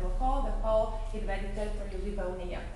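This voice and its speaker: Strong room echo and light background noise fill the recording. A woman speaks at a fairly quick pace. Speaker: tour guide. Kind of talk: guided museum tour. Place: hall. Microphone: camera far.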